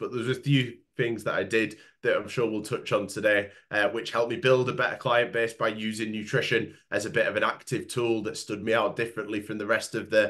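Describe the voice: This man has a fairly low pitch and a fairly bright, nasal tone. He speaks at a fairly quick pace with little pitch movement.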